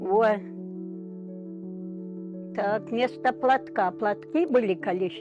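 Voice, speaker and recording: A woman with lively intonation over background music. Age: 80s+. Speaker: village pensioner. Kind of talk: interview answer. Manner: cheerful, matter-of-fact.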